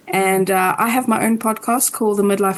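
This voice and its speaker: With a South African accent, a woman speaks at a moderate pace with fairly even intonation. Noticeable background noise is audible. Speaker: podcast co-host and astrologer. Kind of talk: casual interview chat.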